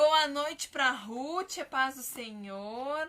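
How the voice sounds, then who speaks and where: A woman uses a raised, projected voice with a bright, sharp tone at a high pitch. Her pitch variation is ordinary. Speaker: children's ministry teacher. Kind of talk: live-stream Bible teaching. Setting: live stream.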